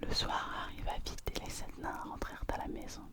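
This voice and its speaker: A woman whispering at a fairly slow pace, with noticeable background noise. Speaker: ASMR reader. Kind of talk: ASMR fairy tale reading, whispered. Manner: whispered, soft.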